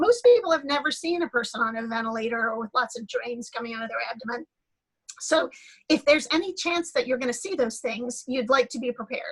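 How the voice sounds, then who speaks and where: A woman's high-pitched voice at a very fast pace, with ordinary pitch variation and big swings in loudness. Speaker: pediatric liver transplant doctor. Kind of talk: panel discussion on video call. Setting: video call.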